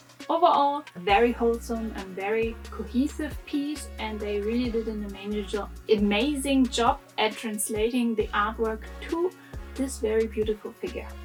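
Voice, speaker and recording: A woman talks with a German accent over music in the background. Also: moderate pace. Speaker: anime figure reviewer. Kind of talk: casual talk to camera.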